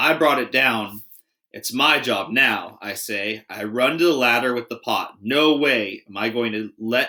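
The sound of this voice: Heard over a quiet background, the speaker uses an unforced reading voice.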